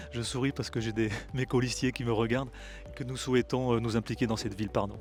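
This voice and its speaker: Over music in the background, a man with a medium pitch talks at a very fast pace. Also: fairly even intonation. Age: 60s. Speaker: local election candidate. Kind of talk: interview. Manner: halting, many hesitations.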